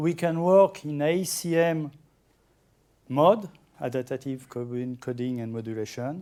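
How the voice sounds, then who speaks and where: Speaking at a fairly slow pace with long, frequent pauses, a man uses a fairly high pitch, ordinary pitch variation and a dark, mellow tone. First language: French. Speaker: amateur radio software developer. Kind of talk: conference talk. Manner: halting.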